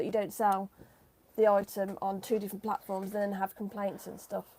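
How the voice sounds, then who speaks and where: A woman with a British accent speaks very fast. Her tone is dark and mellow, at a fairly high pitch. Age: 40s. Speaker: eBay reseller. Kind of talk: casual chat.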